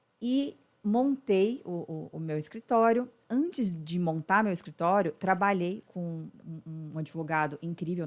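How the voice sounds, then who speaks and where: With lively intonation and a moderate pace, a woman speaks in an unremarkable speaking voice at a fairly low pitch, recorded very cleanly against a silent background. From Brazil, Uberlândia, Minas Gerais. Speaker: business mentor, former lawyer. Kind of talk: podcast interview.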